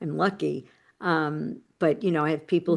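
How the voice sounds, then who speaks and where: With a quiet background, a woman speaks in a New York accent. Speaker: personal transformation coach and author. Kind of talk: interview. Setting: podcast interview.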